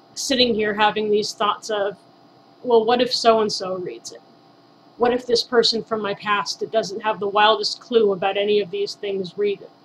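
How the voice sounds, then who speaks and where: Noticeable background noise sits behind a woman with an American accent and a fairly high pitch. She keeps a moderate pace, with big swings in loudness. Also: fairly even intonation. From Southern California. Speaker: author. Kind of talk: personal testimony to camera.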